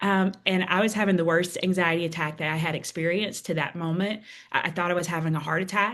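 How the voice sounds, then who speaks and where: A woman with a Southern US accent talks at a fairly quick pace. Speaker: author and speaker. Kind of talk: interview testimony.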